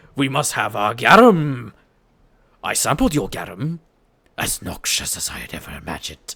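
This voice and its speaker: A man's put-on character voice at medium pitch, with very wide pitch swings, big swings in loudness, moderate pace, and long, frequent pauses. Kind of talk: grand, formal. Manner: imperious, haughty, theatrical.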